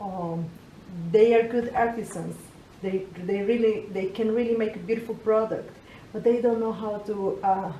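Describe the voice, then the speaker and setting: A woman with a fairly high pitch speaks in a room with audible echo and noticeable background noise. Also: fairly even intonation, moderate pace. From Colombia. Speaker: entrepreneur. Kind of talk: interview. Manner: halting, many repetitions.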